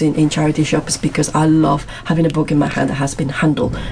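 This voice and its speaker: A woman with a very deep, low pitch talks at a fairly quick pace. Noticeable background noise runs beneath her voice. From Madrid, Spain. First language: Spanish. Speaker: PhD student. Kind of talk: casual interview chat.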